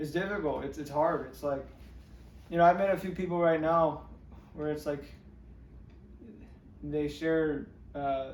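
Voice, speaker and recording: A man with an American accent speaks fairly slowly at a fairly high pitch, with fairly even intonation, long and frequent pauses, and audible room echo. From Northern California. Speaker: musician. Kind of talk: interview. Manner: halting.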